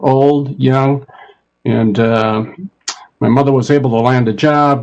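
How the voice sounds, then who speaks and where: A man with an Upper Midwest accent at a fairly slow pace. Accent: Upper Midwest American. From Minnesota, Minneapolis. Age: 70s. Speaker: retired college administrator. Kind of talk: panel discussion. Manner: halting.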